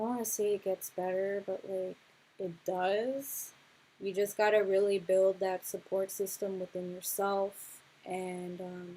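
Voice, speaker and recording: A woman with an American accent speaks at a fairly slow pace in a monotone, flat intonation with a dark, mellow tone. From Los Angeles County, California. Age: 20s. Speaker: music producer and workshop teacher; musician hosting a livestream. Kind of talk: livestream workshop talk. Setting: livestream. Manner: casual, hesitant with fillers. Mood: earnest, reflective. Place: home room. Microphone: webcam.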